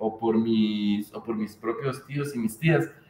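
A man speaks very slowly in a Mexican accent, with lively intonation. Noticeable background noise runs behind him. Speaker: podcast host. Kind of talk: casual chat.

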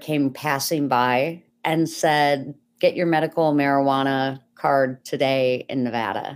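Heard on a very clean recording with a silent background, the American accent carries ordinary pitch variation. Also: woman. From US Northeast (Buffalo, New York). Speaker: former pediatric nurse, cannabis patient advocate. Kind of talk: podcast interview.

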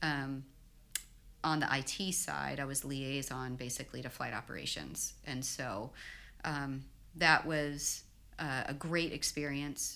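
A woman with a very deep, low voice speaks fairly slowly with vocal fry. Her intonation is fairly even, with long, frequent pauses. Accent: American. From Texas, Houston. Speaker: pilot. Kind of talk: casual chat.

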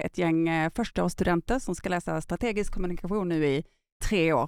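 Speaking at a fairly quick pace, the woman has a plain, everyday voice with a fairly low pitch and ordinary pitch variation. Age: 50s. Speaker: podcast host. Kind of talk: interview.

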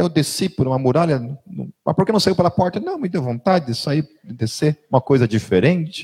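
A man's fairly high, dark and mellow voice with lively intonation, dry and close with no echo. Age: 40s. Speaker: pastor. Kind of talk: sermon. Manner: conversational.

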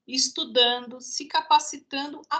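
A woman's raised, projected voice, high-pitched with a bright, sharp tone, at a very slow pace. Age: 50s. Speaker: marketing manager. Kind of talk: casual chat.

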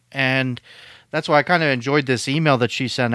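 With a Western Pennsylvania accent, a man talks at a fairly quick pace, his medium-pitched voice bright and sharp in tone, his intonation fairly even, and the sound dry and close with no echo. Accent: Western Pennsylvania American. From Pittsburgh, US. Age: 30s. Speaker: podcast co-host in recovery. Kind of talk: casual chat.

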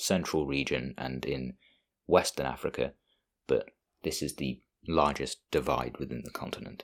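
A man's very deep, low voice with vocal fry. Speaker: solo podcast host. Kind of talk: solo podcast monologue on languages.

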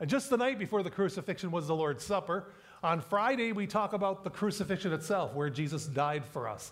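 A text is read aloud in a natural-sounding voice.

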